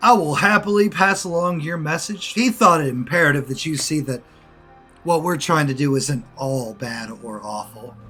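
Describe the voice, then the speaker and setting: A loud, booming put-on character voice from a man, at a fairly high pitch. He talks at a moderate pace over music in the background. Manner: grandiose, commanding.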